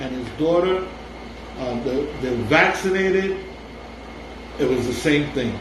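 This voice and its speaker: There is audible room echo and noticeable background noise as a man speaks at a high pitch. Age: 60s. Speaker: blog video co-host. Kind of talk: casual chat. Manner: halting.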